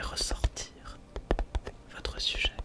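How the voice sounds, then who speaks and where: Whispering at a very slow pace in a calm tone, over noticeable background noise. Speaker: ASMR creator. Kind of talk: ASMR roleplay as a camera shop salesperson. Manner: soft-spoken, calm, helpful.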